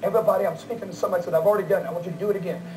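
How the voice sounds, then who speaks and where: The pitch varies in an ordinary way. Light background noise can be heard. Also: man. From Orlando, Florida, USA. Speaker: televangelist preacher. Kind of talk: televangelist telethon fundraising appeal. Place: studio.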